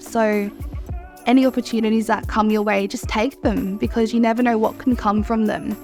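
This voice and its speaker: With music in the background, a woman in an Australian accent speaks with ordinary pitch variation. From Mornington Peninsula, Victoria, Australia. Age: 20s. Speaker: cultural educator. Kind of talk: interview answer.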